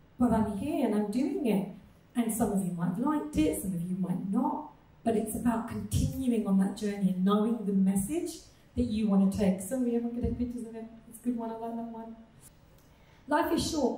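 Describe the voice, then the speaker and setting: A woman's fairly high, lively voice at a fairly quick pace, with big swings in loudness, audible room echo and noticeable background noise. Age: 40s. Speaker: nutrition coach. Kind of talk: live talk to an audience.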